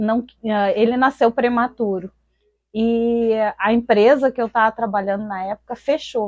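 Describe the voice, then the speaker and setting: Heard in a dry, close sound with no echo, a woman talks fairly slowly in a fairly high pitch with ordinary pitch variation. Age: 40s. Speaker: artisan. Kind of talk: interview testimony. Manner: halting.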